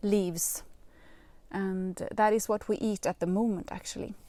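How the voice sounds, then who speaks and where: A woman with a Swedish accent and a fairly high pitch speaks in a very clean recording with a silent background. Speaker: gardening youtuber. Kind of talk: live video talk. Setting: outdoors in polytunnel. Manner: hesitant, many fillers.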